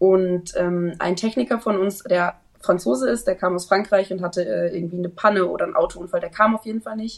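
A woman's plain, everyday voice at medium pitch, with a fairly quick pace. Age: 20s. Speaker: trainee event manager. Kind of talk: interview.

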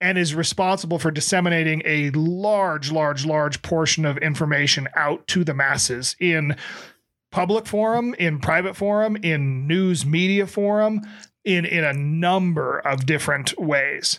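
A man with a plain, everyday voice speaks fairly slowly at a fairly high pitch, with ordinary pitch variation. His loudness stays very even on a very clean recording with a silent background. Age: 40s. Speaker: podcast co-host. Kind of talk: casual chat.

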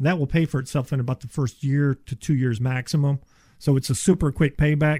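A somewhat breathy voice, dry and close with no echo, in a very clean recording with a silent background. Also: man. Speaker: insulation contractor. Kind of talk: casual chat. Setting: studio.

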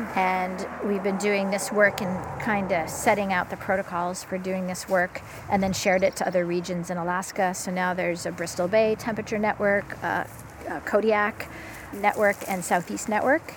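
Her intonation is monotone and flat, at a medium pitch for a woman. Noticeable background noise is present. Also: moderate pace. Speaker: stream temperature researcher. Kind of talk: field interview. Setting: outdoors by a river.

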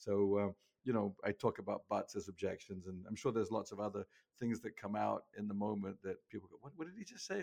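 A man in an English accent speaks at a fairly quick pace. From England. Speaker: sales trainer. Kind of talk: interview. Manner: animated.

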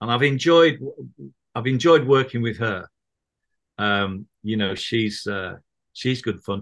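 A man with a Mancunian accent speaks slowly, in a medium pitch with ordinary variation. Long, frequent pauses break up his speech against a quiet background. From Manchester, northern England. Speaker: musician and author. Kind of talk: casual chat. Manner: halting, many fillers and repeats.

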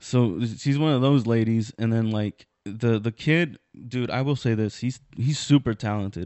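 With a plain, everyday voice, a man speaks at a medium pitch and a fairly slow pace, with fairly even intonation. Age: 20s. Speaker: comedian and podcast host. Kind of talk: casual chat.

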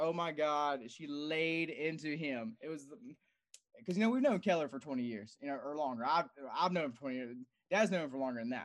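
A man talks in a plain, everyday voice with a fairly high pitch and ordinary pitch variation. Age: 30s. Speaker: competitive powerlifter. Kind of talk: casual chat.

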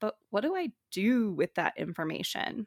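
The recording is very clean, with a silent background and a dry, close sound with no echo. A woman with a General American accent speaks at a fairly high pitch and fairly slow pace. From Colorado. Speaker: podcast host, dietetics student. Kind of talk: personal monologue.

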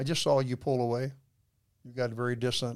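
A man with a Texan accent talks at a moderate pace. His voice sits at a medium pitch. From Texas. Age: 80s+. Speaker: guest, husband of the host. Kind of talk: casual interview conversation. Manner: joking, humorous.

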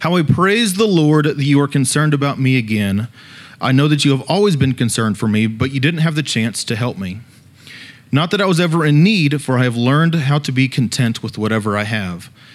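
Using an unremarkable speaking voice, a man talks at a fairly quick pace with fairly high pitch and lively intonation. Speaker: student leader preacher. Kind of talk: sermon. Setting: church.

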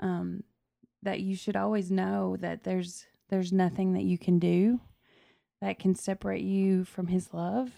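In a very clean recording with a silent background, a woman talks. She keeps a moderate pace. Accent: Southern. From Tennessee, South Fulton. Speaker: podcast guest, host's wife. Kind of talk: casual chat.

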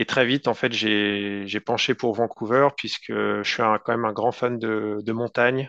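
This man talks at a very slow pace in a fairly low pitch. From France. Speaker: tech entrepreneur. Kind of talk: interview. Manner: halting.

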